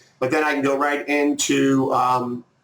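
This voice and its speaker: In a room with audible echo, a man talks with monotone, flat intonation. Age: 50s. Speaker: online marketing trainer. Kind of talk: tutorial. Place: home room. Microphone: webcam.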